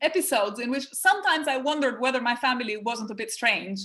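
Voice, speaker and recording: A woman talks with lively intonation. Her tone is bright and sharp. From Albania. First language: French. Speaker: professor and author. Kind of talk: interview.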